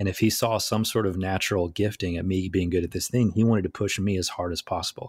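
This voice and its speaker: A man speaks very fast with a flat, monotone intonation. His pitch is very deep and low, and his voice is somewhat breathy. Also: hardly any pauses. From southeast Tennessee, US South. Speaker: illusionist and speaker. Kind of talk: interview conversation. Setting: video call.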